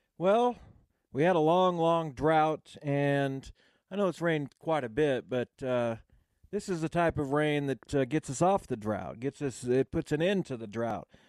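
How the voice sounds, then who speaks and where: A man with a normal speaking voice talks at a fairly slow pace and a fairly high pitch, with lively intonation and a dry, close sound with no echo. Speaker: sports radio co-host. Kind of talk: casual radio talk. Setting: studio.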